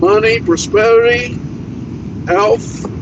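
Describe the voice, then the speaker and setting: Noticeable background noise sits behind a man speaking at a high pitch with lively intonation. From Brazil, Minas Gerais. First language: Portuguese. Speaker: truck driver vlogger. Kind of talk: casual livestream chat. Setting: in a truck while driving.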